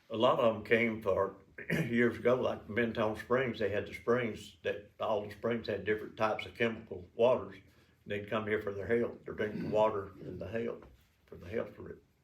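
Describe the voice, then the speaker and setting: A man speaks at a medium pitch and moderate pace, somewhat breathy. His intonation is monotone and flat, while his loudness swings widely. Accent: Southern US. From Alabama. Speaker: city councilman. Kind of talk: interview answer.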